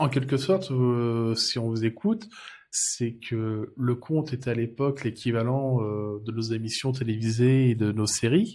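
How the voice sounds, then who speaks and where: A dark, mellow tone carries ordinary pitch variation. Nothing sounds in the background of this very clean recording. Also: man. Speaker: interviewer. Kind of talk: TV interview host.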